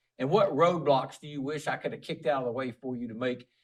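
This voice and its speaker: With lively intonation, the man rattles along at a very fast pace. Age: 50s. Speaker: school superintendent. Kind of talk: casual interview chat.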